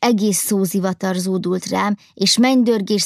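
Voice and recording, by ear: A natural voice, reading aloud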